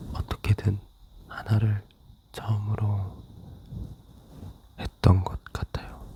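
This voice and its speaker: Whispering very slowly, the speaker leaves long, frequent pauses. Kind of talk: ASMR casual whispered chat. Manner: whispered; soft-spoken.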